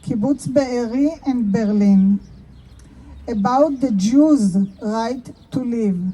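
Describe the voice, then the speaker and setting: Speaking at a very slow pace with an Israeli accent, a woman uses a high pitch and lively intonation. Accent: Israeli Hebrew. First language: Hebrew. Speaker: artist and activist. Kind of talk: public speech. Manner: halting.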